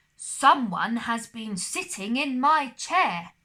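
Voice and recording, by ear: A woman puts on a high-pitched character voice and delivers it at a very slow pace.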